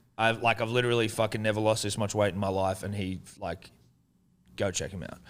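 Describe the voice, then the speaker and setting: A man with an Australian accent talks fairly quickly in a fairly low voice with fairly even intonation. The recording is very clean, with a silent background. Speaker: podcast host. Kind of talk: casual chat.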